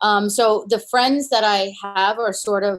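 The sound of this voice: A woman's medium-pitched voice, fairly slow in pace, with fairly even intonation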